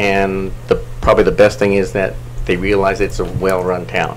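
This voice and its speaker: Lively intonation marks a man's very deep, low voice. Noticeable background noise and audible room echo surround it. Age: 50s. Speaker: council seat applicant, planning commissioner. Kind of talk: public meeting interview. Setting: city council meeting. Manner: halting, many fillers.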